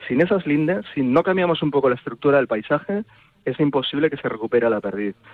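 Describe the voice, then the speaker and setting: Intonation is lively as a man talks with a fairly high pitch. His pace is very fast. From Toro, Zamora, Spain. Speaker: university researcher. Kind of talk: radio interview.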